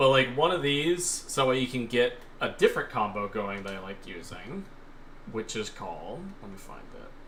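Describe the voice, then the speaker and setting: At a moderate pace, the voice swings widely in pitch and loudness, with long, frequent pauses over noticeable background noise. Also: man. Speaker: gaming streamer. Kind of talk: live stream gameplay commentary. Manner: casual, filler-heavy.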